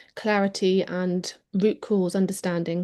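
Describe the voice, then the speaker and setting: A woman's medium-pitched, dark and mellow voice, monotone and flat, at a fairly slow pace against a quiet background. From Devon, south-west England. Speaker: wellness advocate, workshop presenter. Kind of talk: online workshop presentation. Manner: hesitant, many ums.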